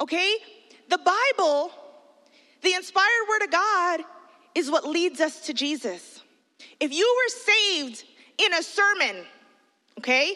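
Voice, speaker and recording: The voice is raised and projected, animated in tone with lively intonation, moving at a fairly slow pace with long, frequent pauses. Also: woman, extremely high pitch for a woman. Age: 40s. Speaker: children's pastor. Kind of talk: sermon.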